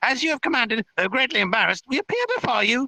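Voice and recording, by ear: A man speaks in a put-on character voice, pitched extremely high for a man, with a bright, sharp tone and lively intonation. He talks fast, and the sound is dry and close with no echo.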